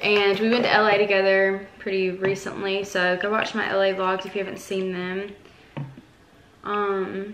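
A woman speaks over noticeable background noise. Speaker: vlogger. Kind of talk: casual vlog chat. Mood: relaxed and upbeat. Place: kitchen. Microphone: phone near.

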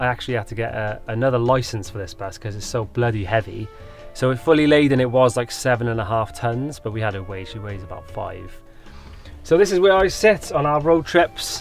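Over faint background music, a man speaks at a fairly quick pace with big swings in loudness, in a dry sound with no echo. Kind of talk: casual vlog chat. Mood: cheerful, proud. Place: bus. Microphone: camera far.

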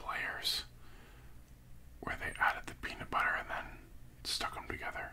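A man whispers at a moderate pace. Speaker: food reviewer. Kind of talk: casual vlog chat. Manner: soft, hushed ASMR talk. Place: home room. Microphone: studio mic.

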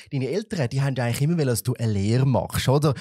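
A man's medium-pitched, somewhat breathy voice with a dark, mellow tone and lively intonation, dry with no echo against a quiet background. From Switzerland. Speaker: podcast and TV host; podcast, TV host. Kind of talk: casual interview. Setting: studio. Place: studio. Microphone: studio mic.

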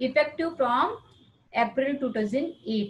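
A woman with an Indian accent at a very slow pace, with ordinary pitch variation. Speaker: teacher. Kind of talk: lecture. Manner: halting.

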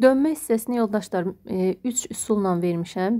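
A woman speaks in a dark, mellow tone in a very clean recording with a silent background. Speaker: math teacher and textbook author. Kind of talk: book walkthrough tutorial.

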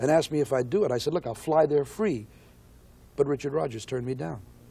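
With an American accent, a man speaks in a somewhat breathy, fairly high voice with a dark, mellow tone and lively intonation. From United States. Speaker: jazz singer. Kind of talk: interview answer.

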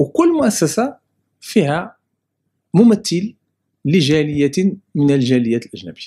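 In a dark, mellow tone, a man speaks at a very slow pace, his pitch swinging very widely, with long, frequent pauses. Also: quiet background. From Morocco, Casablanca. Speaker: immigrant rights association president; interviewee. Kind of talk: interview testimony. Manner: halting. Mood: friendly, smiling. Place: office. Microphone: handheld.

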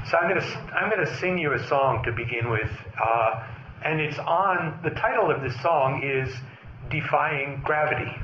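The speaker moves at a moderate pace with ordinary pitch variation. Noticeable background noise runs under the voice. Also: man, fairly high pitch for a man. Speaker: Zen Buddhist priest and teacher. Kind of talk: dharma talk. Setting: stage with audience. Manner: soft-spoken.

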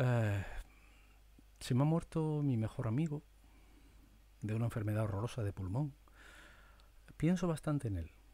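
At a moderate pace with long, frequent pauses, the voice is somewhat breathy, with a dark, mellow tone and lively intonation. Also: man. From Spain. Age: 50s. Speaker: media presenter; former TV newsreader, podcaster. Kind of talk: monologue; casual monologue, thinking aloud. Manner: animated; halting. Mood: reflective, sometimes sad. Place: home room. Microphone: studio mic.

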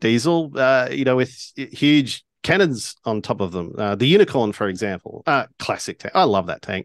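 A man talks at a moderate pace with very wide pitch swings. The sound is dry with no echo, over a quiet background. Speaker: co-host and game master. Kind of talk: casual chat. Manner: halting, many fillers. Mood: enthusiastic, fond. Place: home room. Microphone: video call.

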